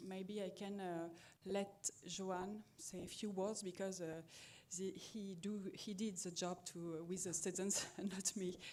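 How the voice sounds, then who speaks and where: Speaking at a fairly slow pace, a woman with a medium pitch keeps her intonation flat and monotone. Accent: French. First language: French. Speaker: musician and teacher. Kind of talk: conference presentation. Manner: halting.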